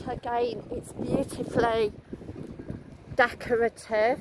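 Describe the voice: Slowly and with little pitch movement, a woman with a fairly high pitch speaks over faint background noise.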